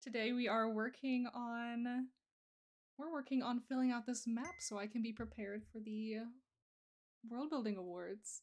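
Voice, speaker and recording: A woman's fairly high voice at a moderate pace, fairly even in intonation, with long, frequent pauses. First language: Russian. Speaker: streamer and digital artist; streamer. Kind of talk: casual chat. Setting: live stream. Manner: halting. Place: home room.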